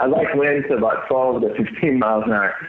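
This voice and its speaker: A man with an American accent and ordinary pitch variation, with audible room echo and noticeable background noise. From California. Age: 40s. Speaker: professional bass angler. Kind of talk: casual interview.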